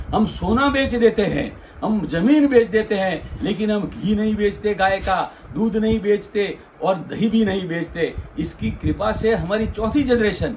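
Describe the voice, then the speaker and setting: A man with a high voice uses normal pitch movement as noticeable background noise carries on. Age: 60s. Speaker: lawyer and cow keeper. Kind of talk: interview testimony. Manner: halting.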